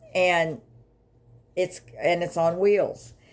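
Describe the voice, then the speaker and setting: A woman's voice at a fairly slow pace. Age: 60s. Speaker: grief vlogger. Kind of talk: personal testimony vlog. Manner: halting, with many fillers.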